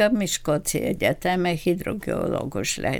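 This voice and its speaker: With a Bulgarian accent, a woman speaks fairly slowly, her intonation lively. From Bulgaria, Ruse region. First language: Bulgarian (speaking Hungarian). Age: 80s+. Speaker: retired doctor. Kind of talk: interview. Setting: studio.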